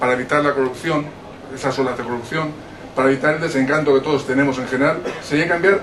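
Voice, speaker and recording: Over noticeable background noise and audible room echo, a man with a fairly high pitch speaks at a very fast pace with fairly even intonation. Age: 50s. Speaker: audience member at book presentation. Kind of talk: audience question, public discussion.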